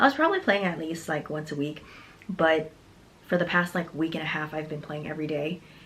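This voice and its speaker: A soft-spoken woman at a fairly low pitch, amid noticeable background noise. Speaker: fitness vlogger. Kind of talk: casual monologue. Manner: halting.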